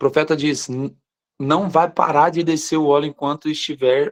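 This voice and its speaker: The delivery comes at a fairly slow pace with fairly even intonation, and the sound is dry and close with no echo. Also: man. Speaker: pastor. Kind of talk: live online morning devotional sermon. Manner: slows down deliberately at times.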